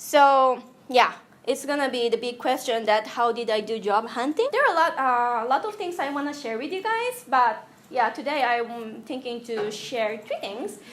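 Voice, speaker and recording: A Japanese accent amid audible room echo. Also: woman, high pitch for a woman, ordinary pitch variation, moderate pace. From Japan (Tokyo). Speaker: UI designer, guest speaker. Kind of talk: lecture. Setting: classroom with audience. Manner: halting.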